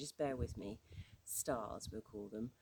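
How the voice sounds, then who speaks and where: A woman in a British accent, dark and mellow in tone, at a moderate pace. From UK. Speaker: astrology teacher. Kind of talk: informal tutorial. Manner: halting, with many fillers and restarts.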